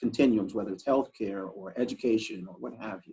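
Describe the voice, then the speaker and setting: A man with a normal speaking voice talks at a moderate pace. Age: 60s. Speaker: professor and report author. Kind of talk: interview conversation.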